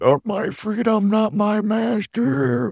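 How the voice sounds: A man's put-on character voice, high-pitched and very slow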